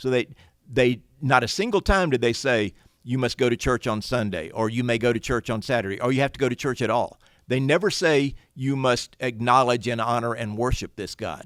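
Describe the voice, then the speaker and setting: A man of medium pitch talks at a fairly quick pace in a normal speaking voice, with ordinary pitch variation. The recording is very clean and dry, close with no echo, over a silent background. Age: 60s. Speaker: attorney and writer. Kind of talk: podcast interview.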